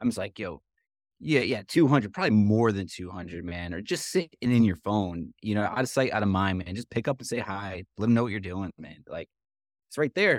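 A man's plain, everyday voice, fairly low in pitch, at a fairly quick pace with ordinary pitch variation and big swings in loudness, dry and close with no echo in a very clean recording over a silent background. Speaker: podcast co-host, executive director. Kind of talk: podcast interview.

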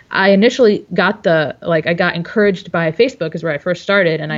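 A plain, everyday voice from a woman with an American accent, fairly low in pitch, fairly quick, ordinary pitch variation, in a quiet background. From Dearborn, Michigan, US. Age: 30s. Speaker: webcomic artist and illustrator. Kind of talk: casual interview.

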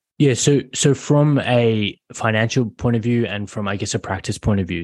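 A man with an Australian accent speaks at a moderate pace. The background is quiet. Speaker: general practice doctor. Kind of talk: interview.

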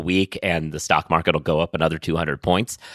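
Monotone, flat intonation marks this man's speech. The recording is very clean with a silent background, and the sound is dry and close with no echo. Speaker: legal news podcast host. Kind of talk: casual banter about legal news.

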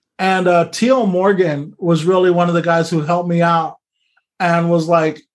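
This man speaks with an American accent in a high-pitched voice. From US West, Kern County, California. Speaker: comedian. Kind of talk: casual interview. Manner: halting, many repeated words.

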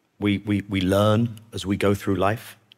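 A man speaks with a British accent at a fairly low pitch. The recording is very clean, with a silent background. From Britain. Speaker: former peace negotiator. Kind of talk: interview. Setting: studio.

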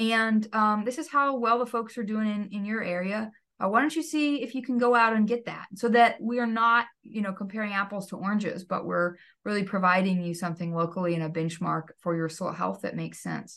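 With an American accent, the speaker moves at a fairly quick pace with hardly any pauses. Pitch variation is ordinary, and the background is quiet. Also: woman, fairly high pitch for a woman. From Texas. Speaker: soil scientist. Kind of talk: interview conversation.

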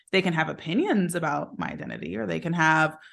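A woman's fairly low voice at a moderate pace, a plain, everyday voice against a quiet background. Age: 30s. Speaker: business strategist. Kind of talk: interview conversation.

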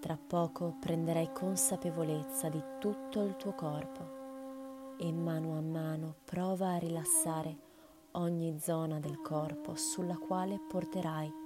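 A woman talks at a very slow pace in a fairly low pitch, her tone gentle and calm. Music plays in the background. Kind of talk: guided meditation. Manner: slow, calm, soothing, with long pauses between instructions; gentle, soft-spoken, unhurried.

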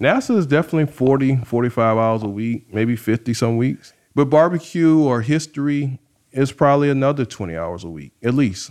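With a South Carolina accent, a man talks at a fairly quick pace in a medium pitch with lively intonation against a quiet background. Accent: South Carolina Southern. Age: 30s. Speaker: rocket scientist and barbecue cook. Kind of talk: casual interview.

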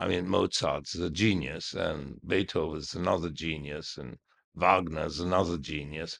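A man talks with a very deep, low pitch. His intonation stays fairly even. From Egypt. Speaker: prince, royal descendant and businessman. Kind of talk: casual interview chat. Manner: halting, hesitant with many repetitions.

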